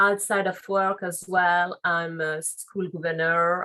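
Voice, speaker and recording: A French accent with a bright, sharp tone and monotone, flat intonation. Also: woman. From France, Paris. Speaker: legal and compliance officer. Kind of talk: interview.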